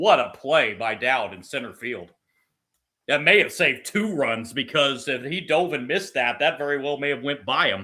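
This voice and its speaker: This man's voice is loud, with a bright, sharp tone and a fairly high pitch. He moves at a moderate pace with lively intonation, in a very clean recording over a silent background. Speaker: sports livestreamer doing play-by-play. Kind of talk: live commentary. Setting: livestream from computer with live chat. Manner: loud, voice carries.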